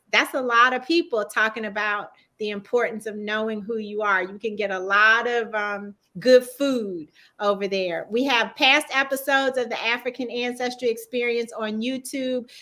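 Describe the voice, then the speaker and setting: A woman with a Southern US accent, fairly high-pitched with a bright, sharp tone, at a moderate pace and fairly even intonation, in a very clean recording with a silent background. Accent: Southern US twang. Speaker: talk show host. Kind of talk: interview wrap-up and promo.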